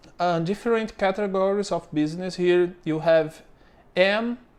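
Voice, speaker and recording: A man speaks with a Brazilian accent against a quiet background. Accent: Brazilian accent, non-native English. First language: Portuguese. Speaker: business owner explaining local bureaucracy. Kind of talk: tutorial. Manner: halting, many fillers.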